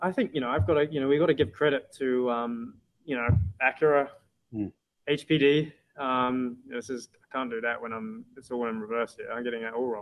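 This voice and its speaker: With a British accent, a man speaks at a moderate pace and medium pitch, using ordinary pitch variation. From UK. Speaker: racing driver. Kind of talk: interview.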